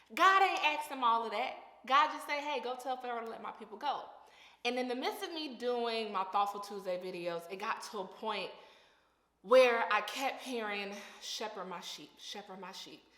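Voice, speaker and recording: Bright and sharp in tone, a woman's voice rises and falls widely in loudness amid audible room echo. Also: fairly high pitch for a woman, lively intonation, moderate pace. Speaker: vlogger and aspiring fashion designer. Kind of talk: inspirational vlog talk.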